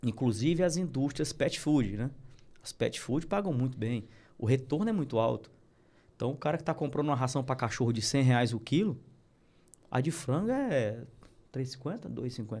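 A somewhat breathy man's voice at medium pitch, moderate in pace with long, frequent pauses and ordinary pitch variation, on a very clean recording with a silent background. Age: 40s. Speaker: animal feed business owner. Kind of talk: casual interview. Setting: studio.

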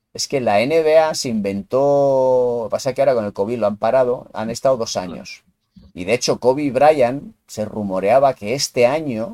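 With a dark, mellow tone at medium pitch, a man talks at a moderate pace with ordinary pitch variation in a dry, close sound with no echo. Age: 40s. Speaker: podcast host, basketball fan. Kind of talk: casual chat.

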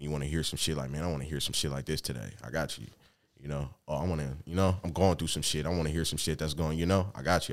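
A man with a very deep, low voice and vocal fry speaks very fast with ordinary pitch variation in a very clean recording with a silent background. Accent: American. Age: 20s. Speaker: rapper. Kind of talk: casual chat.

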